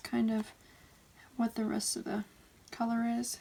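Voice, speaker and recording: In a put-on character voice, the speaker mumbles at a fairly slow pace. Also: woman. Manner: mumbling.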